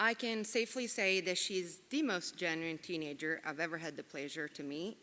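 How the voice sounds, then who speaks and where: This woman speaks with an Italian accent at a moderate pace. Her fairly low voice has a bright, sharp tone and ordinary pitch variation. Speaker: Italian teacher. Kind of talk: award speech.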